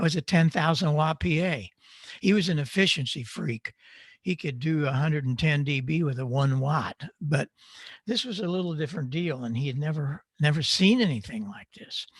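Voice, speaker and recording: A man speaks at a moderate pace in a fairly high, somewhat breathy voice. The intonation is lively and the sound dry and close with no echo. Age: 80s+. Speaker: audio engineer and ham radio speaker. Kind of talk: conference talk. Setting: virtual hamfest presentation. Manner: conversational, with frequent fillers.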